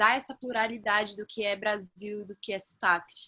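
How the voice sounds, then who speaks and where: Bright and sharp in tone, a woman with a fairly high pitch speaks at a fairly slow pace in a dry, close sound with no echo. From Belém, Pará, northern Brazil. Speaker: actress. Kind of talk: casual panel discussion.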